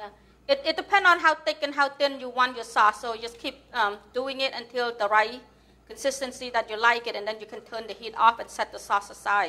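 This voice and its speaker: A woman speaks at a fairly quick pace with a Cambodian accent and a high pitch. Her loudness swings a lot, while her pitch varies in an ordinary way. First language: Khmer. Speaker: home cook. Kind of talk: cooking tutorial.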